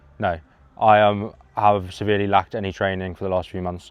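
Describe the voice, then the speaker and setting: Deadpan in tone, a man with a fairly low voice talks at a very fast pace with fairly even intonation. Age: 20s. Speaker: runner friend. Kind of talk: casual vlog chat.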